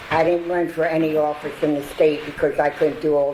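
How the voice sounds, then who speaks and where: Noticeable background noise and audible room echo surround a woman with an American accent and a very deep, low pitch, who speaks at a moderate pace with fairly even intonation. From southern New Jersey (Burlington County). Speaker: longtime local resident. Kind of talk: storytelling talk. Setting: stage with audience.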